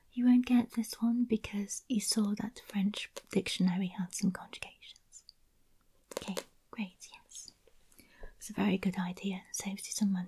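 Soft-spoken and somewhat breathy, a woman talks in a gentle tone at a moderate pace, with fairly even intonation. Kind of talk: ASMR role-play talk. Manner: gentle soft-spoken ASMR voice. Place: home room. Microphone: studio mic.

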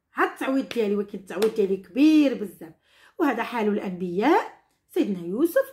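A woman with a Moroccan accent at a fairly quick pace over a quiet background. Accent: Moroccan Darija. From Morocco. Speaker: teacher. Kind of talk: tutorial. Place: home room. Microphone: phone near.

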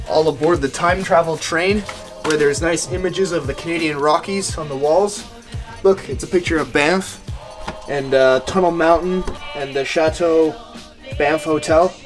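A man's moderate-paced speech with ordinary pitch variation and long, frequent pauses, with clear music in the background. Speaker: explorer vlogger. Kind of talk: casual vlog chat. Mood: playful, curious. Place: train. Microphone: phone near.

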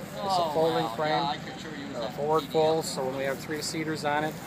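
Loud background noise fills the clip. Over it, a man speaks at a moderate pace. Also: dry sound with no echo. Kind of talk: product explanation interview. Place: open country. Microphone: camera far.

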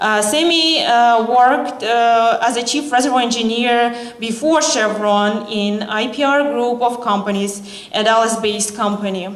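A woman speaks at a fairly slow pace and a fairly high pitch, with ordinary pitch variation. Noticeable background noise runs behind her. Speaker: event organizer. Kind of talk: formal introduction. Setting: stage with audience.

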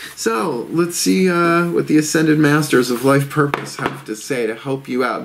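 Light background noise is present. Over it, a man talks. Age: 50s. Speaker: tarot reader. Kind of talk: tarot reading monologue. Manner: casual, many filler words. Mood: calm, gentle guidance. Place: home room.

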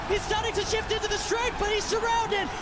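A man speaks over noticeable background noise. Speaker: esports caster. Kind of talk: live esports commentary. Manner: fast, excitable play-by-play; rising, breathless urgency in tense fights.

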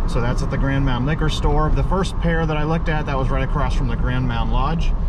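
A man speaks in a dry sound with no echo over loud background noise. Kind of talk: casual vlog commentary. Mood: relaxed, mildly wry. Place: car. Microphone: phone near.

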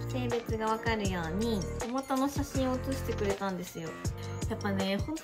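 A woman talking at a moderate pace over clear music in the background. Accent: Kansai. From Osaka. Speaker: pregnant vlogger. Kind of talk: casual vlog talk to camera. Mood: happy, emotional, giggly. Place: home room. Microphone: phone near.

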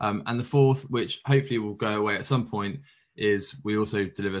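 With a plain, everyday voice, a man speaks at a fairly quick pace in a fairly low pitch with lively intonation against a quiet background. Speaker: presenter. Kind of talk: conference presentation. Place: home room. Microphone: webcam.

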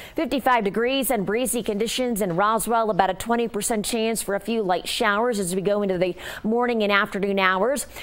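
A woman speaks at a moderate pace with hardly any pauses. Her pitch is fairly high. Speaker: TV meteorologist. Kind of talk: live TV weather forecast walking through radar and temperatures. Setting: TV studio in front of weather map. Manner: brisk, fluent forecaster patter with occasional filler 'uh'; upbeat, conversational tone addressing viewers directly. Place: studio.

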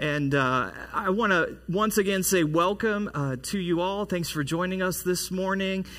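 A man speaks against a quiet background at a fairly slow pace. His voice is raised and projected, bright and sharp in tone. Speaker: pastor. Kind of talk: sermon. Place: church.

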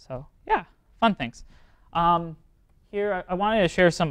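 A man talks at a moderate speed, the background quiet. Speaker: presenter. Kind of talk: lecture. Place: classroom. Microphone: lapel.

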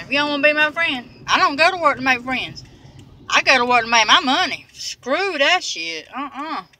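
A woman with a raised, projected voice and a bright, sharp tone speaks at a moderate pace with big swings in loudness. The sound is dry with no echo, with light background noise. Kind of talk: casual vlog chat. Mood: irritated, defiant about work drama. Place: car. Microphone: phone near.

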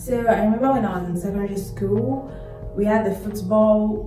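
A woman's voice with audible room echo and clear music in the background. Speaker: vlogger. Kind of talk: casual vlog chat. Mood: reflective, earnest. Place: home room. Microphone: phone near.

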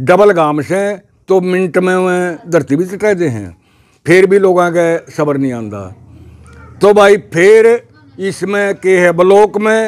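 A man's high-pitched voice at a very slow pace, with long, frequent pauses, ordinary pitch variation and a quiet background. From Haryana, Jind district; Haryana, India. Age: 70s. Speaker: village elder; interviewee. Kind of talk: interview. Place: open country. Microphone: lapel.

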